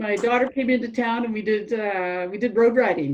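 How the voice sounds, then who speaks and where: Here is a plain, everyday voice: a woman with a Canadian accent and a fairly high pitch. She talks at a moderate pace with ordinary pitch variation. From western Canada, Calgary. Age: 60s. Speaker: cycling club member. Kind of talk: interview.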